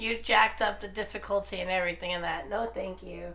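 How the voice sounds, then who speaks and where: Room echo is audible as a woman speaks. Her pace is moderate. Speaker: co-streamer, gamer. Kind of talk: casual chat.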